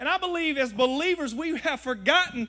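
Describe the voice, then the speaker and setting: A man with a Southern US accent uses a raised, projected voice, an animated tone, a bright, sharp tone and lively intonation. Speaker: guest preacher. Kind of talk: sermon. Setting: church with live congregation. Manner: animated, call-and-response, rallying the crowd; conversational, humorous, folksy.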